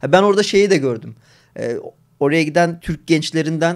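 A man's fairly high voice at a moderate pace, against a quiet background. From Turkey. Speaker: gaming streamer. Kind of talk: casual live stream chat. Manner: talkative, frequent laughter. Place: home room. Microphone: studio mic.

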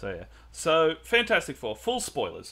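A man talks fairly slowly in a fairly high, bright, sharp voice with vocal fry. His pitch swings very widely. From Mexican heritage. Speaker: podcast host. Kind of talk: casual chat. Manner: animated.

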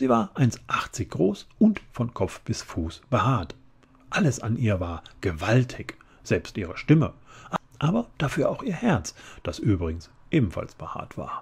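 Fairly slow and somewhat breathy, a man's voice moves through very wide pitch swings. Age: middle-aged. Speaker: audiobook narrator. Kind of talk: children's book reading. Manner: calm, relaxed. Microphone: studio mic.

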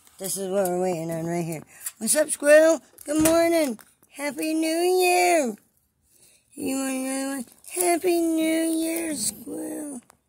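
A woman with a high pitch talks at a fairly slow pace, her pitch swinging very widely and her loudness rising and falling a lot. Light background noise can be heard. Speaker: vlogger. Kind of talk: casual vlog chat. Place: home room.

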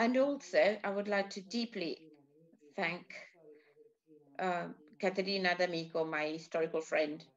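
A woman speaks at a moderate pace with a medium pitch and ordinary pitch variation, leaving long, frequent pauses while music plays in the background. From Italy. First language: Italian. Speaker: cultural institute host presenting a film event. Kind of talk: event presentation and commentary. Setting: online video call event. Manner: halting. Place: home room. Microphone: webcam.

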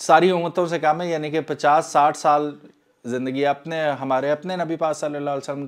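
A man speaks with a fairly high pitch. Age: 40s. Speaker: YouTuber. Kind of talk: appeal for charity donations. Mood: earnest, persuasive. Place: home room. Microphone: lapel.

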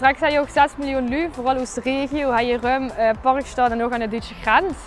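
A woman's high voice with fairly even intonation at a moderate pace, dry with no echo, and music playing behind. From Kerkrade, Netherlands. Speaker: TikTok creator; stadium steward. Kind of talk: casual talk to camera. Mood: cheerful, relaxed. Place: street. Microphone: lapel.

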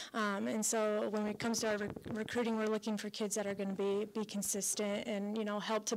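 Light background noise sits behind a woman speaking at a fairly quick pace with a medium pitch. Her intonation is monotone and flat. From Colorado. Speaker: college softball head coach. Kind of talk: radio interview. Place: hall. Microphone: handheld.

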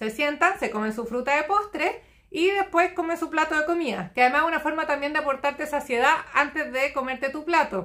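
In a Chilean accent, a woman speaks at a high pitch with a bright, sharp tone and lively intonation against a quiet background. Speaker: nutritionist. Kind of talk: live stream Q&A. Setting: live stream. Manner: fast. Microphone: phone near.

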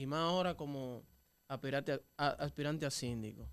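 A man with a Dominican accent talks at a moderate pace in a fairly high pitch. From Dominican Republic. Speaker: interviewer. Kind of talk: interview. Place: studio. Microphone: studio mic.

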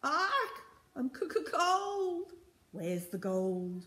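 A woman puts on a character voice. Her pitch is extremely high. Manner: screeching.

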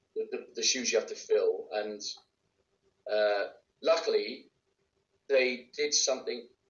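Someone with a Welsh accent speaks at a fairly slow pace. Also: man. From Wales. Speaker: actor and voice actor. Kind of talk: interview answer. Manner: casual, conversational. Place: home room. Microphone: video call.

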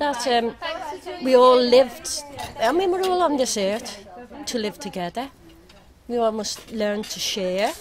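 A high-voiced woman at a fairly slow pace, lively in intonation, with long, frequent pauses amid noticeable background noise. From Ireland. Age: 60s. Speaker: local resident. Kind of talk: street interview. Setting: outdoors.

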